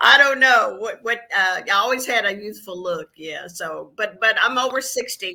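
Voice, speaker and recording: A woman speaks at a moderate pace with hardly any pauses, using an ordinary speaking voice with ordinary pitch variation and big swings in loudness. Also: fairly high pitch for a woman. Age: 60s. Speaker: registered nurse and healer. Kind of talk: interview.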